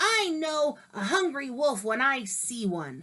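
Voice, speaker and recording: A female-sounding voice uses a put-on character voice with a high pitch. It moves at a fairly slow pace with very wide pitch swings. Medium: read story.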